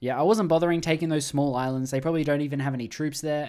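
Speech comes at a very fast pace with an Australian accent. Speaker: gaming YouTuber. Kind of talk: gameplay commentary. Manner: casual, conversational.

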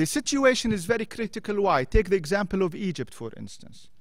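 A man with an Arabic accent at a high pitch, lively intonation and a moderate pace, over a quiet background. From Jordan. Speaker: former diplomat. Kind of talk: panel discussion talk. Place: hall. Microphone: podium.

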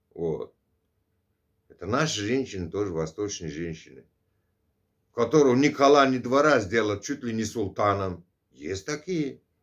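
Against a quiet background, a man talks at a fairly slow pace with long, frequent pauses and very wide pitch swings. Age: 50s. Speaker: vlogger; vlogger answering a subscriber. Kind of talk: casual monologue. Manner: conversational, filler-heavy. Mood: earnest, opinionated. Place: home room. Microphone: phone near.

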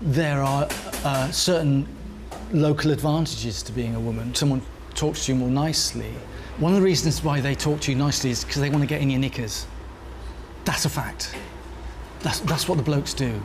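A man speaks at a fairly quick pace with long, frequent pauses over noticeable background noise. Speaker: documentary interviewee; interviewee. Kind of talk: interview. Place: cafe.

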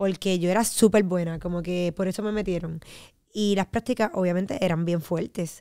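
Over a quiet background, a woman talks at a fairly quick pace in a dark, mellow tone. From Puerto Rico, Trujillo Alto; Puerto Rico. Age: 30s. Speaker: fitness enthusiast and media personality; podcast guest. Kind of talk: casual chat. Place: studio. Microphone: studio mic.

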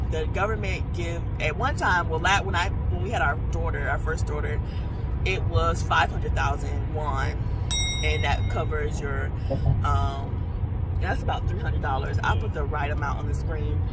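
A woman's voice sounds dry, with no echo. Loud background noise comes through. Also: moderate pace. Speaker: pregnant vlogger. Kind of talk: casual vlog chat. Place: car.

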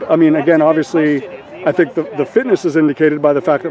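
A man's voice comes through with light background noise. The sound is dry, with no echo. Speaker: sports reporter interviewer. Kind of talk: interview question. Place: waterside.

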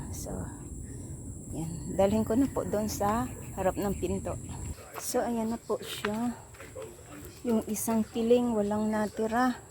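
A woman speaks at a very slow pace, her pitch fairly high with ordinary variation. Long, frequent pauses break her speech over noticeable background noise. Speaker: home gardener vlogger. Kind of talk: casual vlog narration. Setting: outdoors in backyard.

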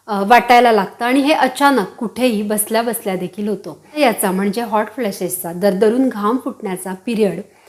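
A woman's fairly high voice, a plain, everyday voice, with ordinary pitch variation. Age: 40s. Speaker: women's health YouTuber. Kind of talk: informational talk to camera. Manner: warm, direct address.

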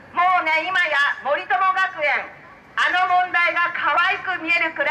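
Speaking in a raised, projected voice, a woman is heard. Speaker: politician giving a campaign speech. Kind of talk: political street speech. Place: street. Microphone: pa.

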